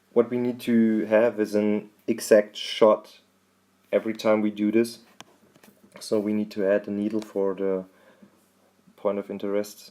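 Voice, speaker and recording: With a German accent, a man speaks at a fairly low pitch and fairly slow pace, his intonation monotone and flat, with long, frequent pauses. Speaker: drone videographer. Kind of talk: tutorial. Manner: halting.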